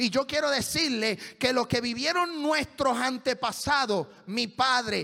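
A man's extremely high-pitched, raised, projected voice has a bright, sharp tone and moves at a fairly slow pace. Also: quiet background. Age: 40s. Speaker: pastor. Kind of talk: sermon. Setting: church. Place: church. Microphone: handheld.

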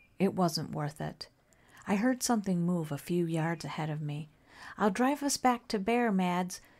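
On a very clean recording with a silent background, a woman talks at a fairly slow pace in a somewhat breathy, fairly low voice with ordinary pitch variation. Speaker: whispered horror story narrator. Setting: studio with added sound effects like rain and eerie music.

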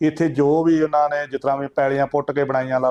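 A man's monotone, flat delivery in a dry, close sound with no echo. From Punjab, India (Kapurthala district). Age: 60s. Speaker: village elder. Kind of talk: oral history interview. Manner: halting.

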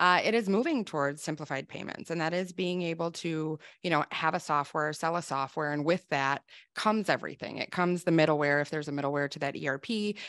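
A woman with an American accent speaks very fast in a very deep, low pitch, with ordinary pitch variation. The background is quiet and the sound is dry with no echo. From Wisconsin. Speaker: sales executive. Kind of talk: live webinar interview. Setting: video call. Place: office. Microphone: studio mic.

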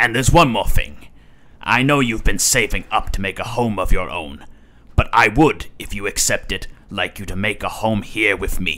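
A man talks with lively intonation at a moderate pace, his pitch sitting in the medium range. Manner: warm, fatherly.

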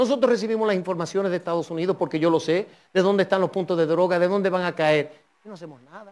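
This man talks at a very fast pace. His voice is high for a man, with ordinary pitch variation. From Dominican Republic. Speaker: politician, party president; politician. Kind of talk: political interview. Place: studio. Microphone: lapel.

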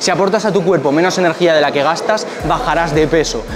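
A man at a fast pace, his pitch fairly high, with ordinary pitch variation over clear background noise

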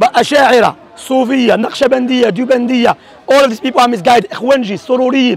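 A man's extremely high-pitched voice at a very fast pace, dry with no echo. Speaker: Salafi preacher debating. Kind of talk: heated religious debate. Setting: outdoors public debate. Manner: emphatic, combative, rapid-fire. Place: open country. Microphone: lapel.

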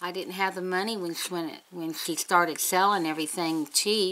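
A woman with an Appalachian accent speaks at a fairly low pitch. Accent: Appalachian Southern US. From West Virginia, US. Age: 60s. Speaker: beauty vlogger. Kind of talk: casual chat. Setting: home. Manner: chatty. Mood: chatty, upbeat. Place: home room. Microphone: webcam.

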